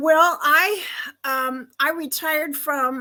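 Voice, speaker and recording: A woman with an American accent speaks in a raised, projected voice. Her tone is bright and sharp, and the recording is very clean with a silent background. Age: 70s. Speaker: retirement life coach and author. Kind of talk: podcast interview. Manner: halting, many fillers.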